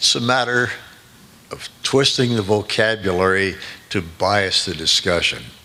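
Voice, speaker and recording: A man with a fairly low pitch talks at a fairly slow pace. Noticeable background noise runs behind him. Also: ordinary pitch variation. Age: 80s+. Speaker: physicist speaking at a conference. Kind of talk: conference talk. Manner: halting.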